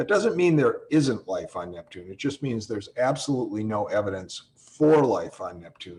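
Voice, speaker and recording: At a moderate pace, a man with a medium pitch talks in a somewhat breathy voice with very wide pitch swings. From US Midwest. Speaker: astronomy professor. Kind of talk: webinar Q&A. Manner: hesitant, repeats words.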